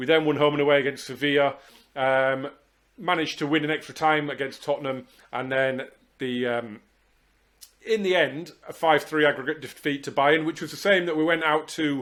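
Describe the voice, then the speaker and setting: A man with an English accent talks in a fairly high pitch with fairly even intonation. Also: moderate pace. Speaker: football video game streamer. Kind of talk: gameplay commentary. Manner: hesitant, many fillers.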